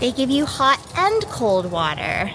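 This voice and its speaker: With music playing behind her, a woman with an American accent speaks in a lively intonation. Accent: Michigan accent, usually hidden. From Michigan, US. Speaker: travel vlogger. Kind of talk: travel vlog. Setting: airport. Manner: animated.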